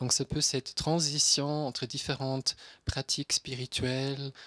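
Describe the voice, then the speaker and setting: A man's monotone, flat delivery at a fairly slow pace against a quiet background. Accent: German. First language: German (speaking French). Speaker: psychiatrist; conference speaker. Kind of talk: lecture. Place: hall. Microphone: handheld.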